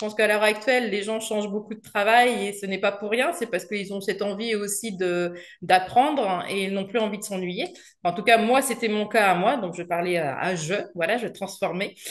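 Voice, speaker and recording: Medium pitch from a woman, moderately paced, pitch varying in an ordinary way. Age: 40s. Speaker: garden centre salesperson retraining as copywriter. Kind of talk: interview testimony. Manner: hesitant, many fillers.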